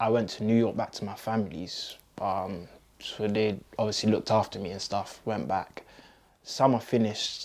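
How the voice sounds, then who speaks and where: Speaking in a fairly low pitch with fairly even intonation, a man talks with a London accent. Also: moderate pace. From London, England. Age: 20s. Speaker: community activist. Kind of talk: interview answer.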